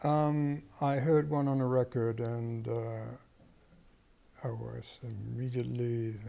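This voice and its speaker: Audible room echo surrounds a man's voice. He speaks at a very slow pace with long, frequent pauses. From Argentina. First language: Spanish and Dutch. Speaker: musician. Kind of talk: interview.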